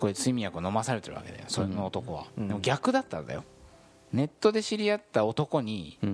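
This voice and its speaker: Loudness rises and falls sharply as a man delivers his words fairly quickly. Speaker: podcast host. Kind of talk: casual chat.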